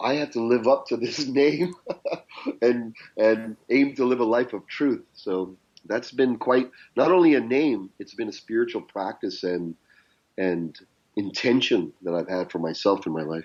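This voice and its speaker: An ordinary speaking voice, with a Canadian accent, takes a fairly slow pace. Its intonation is lively. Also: man, medium pitch for a man. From Canada, of Indian descent. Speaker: business and life coach. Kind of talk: interview conversation.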